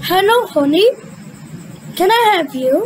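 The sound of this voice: Over clear background noise, a cartoonish character voice at an extremely high pitch moves at a fairly slow pace.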